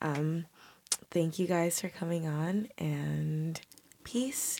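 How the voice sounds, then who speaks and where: Speaking very slowly, a woman uses a fairly low pitch with ordinary pitch variation. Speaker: podcast host and matchmaker. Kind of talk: outro. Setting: studio.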